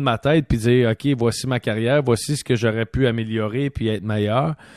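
The speaker has a Quebec accent and ordinary pitch variation. The background is quiet. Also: man. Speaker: podcast host and former hockey player. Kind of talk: casual chat. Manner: animated.

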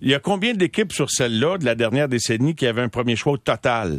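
An ordinary speaking voice at a moderate pace with lively intonation, in a very clean recording with a silent background and a dry, close sound with no echo. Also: man. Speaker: sports radio host. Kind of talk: casual chat. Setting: studio.

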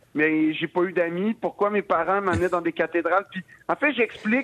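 In a Quebec accent, a man speaks at a high pitch, the sound dry and close with no echo. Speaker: comedian. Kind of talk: radio interview. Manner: halting.

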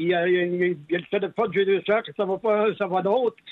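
A man's high voice with fairly even intonation at a moderate pace. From Quebec, Lac-Saint-Jean. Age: 80s+. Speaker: farmer. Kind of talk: phone interview. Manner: halting.

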